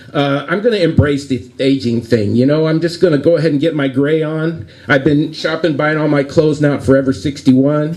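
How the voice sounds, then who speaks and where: The talk runs at a fairly quick pace with hardly any pauses and ordinary pitch variation, over noticeable background noise. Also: man, fairly high pitch for a man. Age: 60s. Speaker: stand-up comedian. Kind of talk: live stand-up comedy set. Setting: live venue with audience. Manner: tame, corny.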